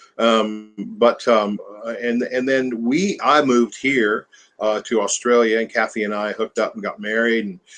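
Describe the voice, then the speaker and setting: With a Southern US accent, a man talks at a moderate pace and a medium pitch. His intonation stays fairly even. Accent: American Southern. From US South (Mississippi, Alabama, Nashville). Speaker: country musician. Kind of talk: interview. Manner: halting, many fillers.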